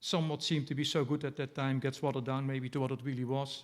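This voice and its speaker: A man speaks at a fairly quick pace with a slight Dutch accent. His pitch is fairly high, and the recording is very clean with a silent background. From Netherlands. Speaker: poet. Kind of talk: poetry reading. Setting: stage with audience. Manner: halting.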